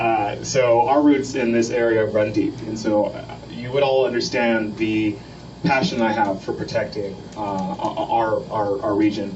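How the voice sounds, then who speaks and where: A man with a medium pitch talks at a moderate pace, with audible room echo and noticeable background noise. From Texas, Corpus Christi. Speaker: student climate advocate. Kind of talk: public talk. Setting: boat meeting with audience. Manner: hesitant, many fillers.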